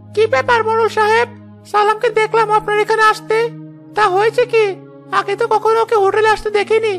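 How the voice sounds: A cartoonish character voice talks at a moderate pace over clear music in the background.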